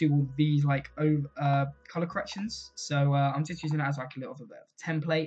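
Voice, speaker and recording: A somewhat breathy man talks at a fairly quick pace in a fairly high pitch, with hardly any pauses. His intonation is fairly even, while his loudness swings widely. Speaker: YouTuber making graphics tutorials. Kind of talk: tutorial. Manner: casual, filler-heavy.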